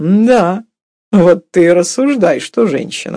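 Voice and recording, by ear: A woman's put-on character voice, fairly low, dark and mellow in tone, slow with lively intonation, on a very clean recording with a silent background.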